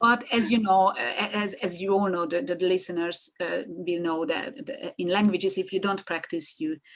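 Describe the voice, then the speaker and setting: Moderate pace, a Hungarian accent, ordinary pitch variation and hardly any pauses. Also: woman, medium pitch for a woman. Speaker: marketing consultant. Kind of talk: podcast interview. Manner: halting.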